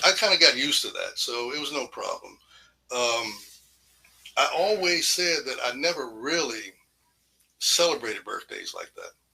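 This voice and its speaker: Speaking at a moderate pace with an American accent, a man leaves long, frequent pauses and shows big swings in loudness. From US South, Newport News, Virginia. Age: 60s. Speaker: radio DJ. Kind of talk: interview. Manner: casual, conversational.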